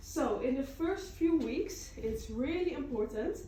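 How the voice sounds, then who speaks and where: The voice moves at a fairly slow pace with very wide pitch swings. Audible room echo and noticeable background noise are present. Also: woman. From Netherlands. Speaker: cheese farm tour guide. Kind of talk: guided tour demonstration.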